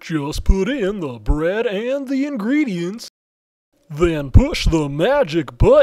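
A man puts on a cartoonish character voice, pitched high. He talks at a fairly slow pace. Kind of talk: TV commercial read. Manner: upbeat.

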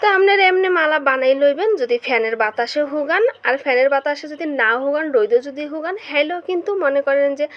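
Over noticeable background noise, a woman with a Bangladeshi accent speaks in a high voice with lively intonation. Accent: regional Bangladeshi dialect. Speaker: home cook, cooking video host. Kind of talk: cooking tutorial.

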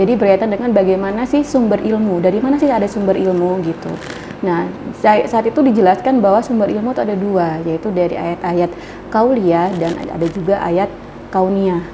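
There is noticeable background noise. A woman speaks fairly quickly with ordinary pitch variation. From Indonesia, Lampung; Indonesia. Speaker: university lecturer. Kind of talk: interview. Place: studio.

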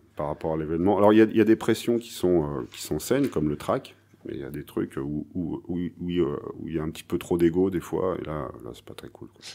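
Here a man's very deep, low voice carries a dark, mellow tone and vocal fry. His intonation is lively, with big swings in loudness. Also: fairly quick pace. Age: 40s. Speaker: blues guitarist; guest. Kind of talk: casual interview. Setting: music bar. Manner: halting. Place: bar.

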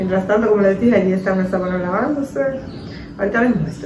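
Audible room echo and light background noise surround a woman whose pitch varies in an ordinary way. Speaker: home vlogger. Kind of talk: casual vlog chat. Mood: relaxed, chatty. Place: kitchen. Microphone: phone near.

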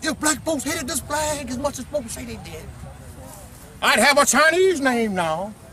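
A man speaks in a raised, projected voice at an extremely high pitch, animated in tone, with big swings in loudness and long, frequent pauses. The sound is dry with no echo, though there is noticeable background noise. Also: moderate pace. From US South. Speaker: heritage activist speaker; speaker. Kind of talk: speech to children at outdoor event. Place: open country. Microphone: phone near.

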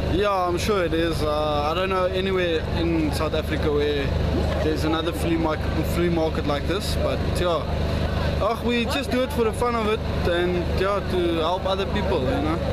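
The sound is dry with no echo as a man speaks over loud background noise. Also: moderate pace. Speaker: market stall seller. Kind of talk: interview answer. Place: market. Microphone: camera far.

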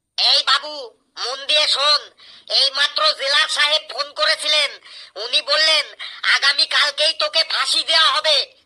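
Someone speaks at a moderate pace in a high-pitched, cartoonish character voice. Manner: loud, exclamatory.

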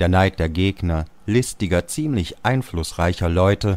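A man with a very deep, low voice speaks rather slowly. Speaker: actor and voice speaker. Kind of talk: audiobook literary reading. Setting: studio.

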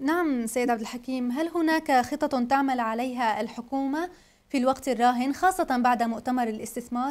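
A clear, high woman's voice with ordinary pitch movement, recorded very cleanly against a silent background. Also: moderate pace, hardly any pauses. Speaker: news anchor. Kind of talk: news reading. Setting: studio. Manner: formal.

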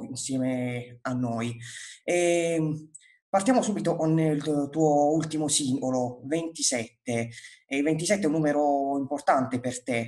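A man's fairly high voice at a very slow pace, with ordinary pitch variation and a quiet background. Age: 20s. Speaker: music interviewer. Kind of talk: interview. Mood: friendly, relaxed. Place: home room. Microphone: earbuds.

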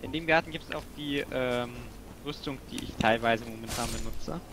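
A man is speaking. The sound is dry with no echo, though there is noticeable background noise. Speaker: video game player; streamer playing the game. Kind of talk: casual chat while gaming co-op. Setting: video call or online voice chat while playing.

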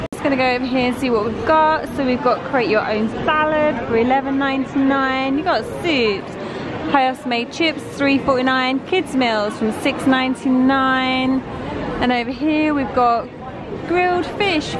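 At a fairly slow pace, a woman speaks with ordinary pitch variation in a dry, echo-free sound, with noticeable background noise. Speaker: tourist vlogger. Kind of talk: casual vlog commentary. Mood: amused, light. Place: cafe. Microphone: phone near.

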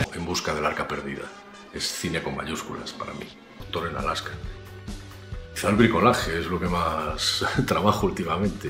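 Clear music plays behind a man with a very deep, low voice and ordinary pitch variation. He talks at a moderate pace with long, frequent pauses. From Galicia, Spain. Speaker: actor. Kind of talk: interview answer. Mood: calm, reflective. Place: home room. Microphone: webcam.

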